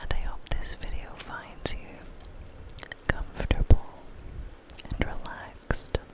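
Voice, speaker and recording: Over noticeable background noise, the whispering goes very slowly, broken by long, frequent pauses. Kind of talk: ASMR whispered video-game walkthrough narration.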